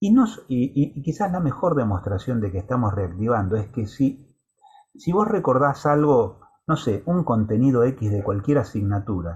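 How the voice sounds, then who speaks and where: Talking at a moderate pace, a man with a medium-pitched voice makes very wide pitch swings. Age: 60s. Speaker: university lecturer. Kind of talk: lecture. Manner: halting, with many fillers.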